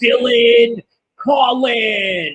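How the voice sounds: His pitch climbs extremely high. This man is putting on a character voice.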